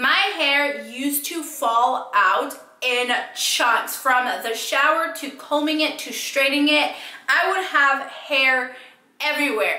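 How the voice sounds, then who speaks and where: A woman uses a raised, projected voice with a high pitch and ordinary pitch variation. She goes at a very slow pace amid audible room echo. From California. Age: 20s. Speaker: beauty vlogger. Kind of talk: casual talk to camera. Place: home room.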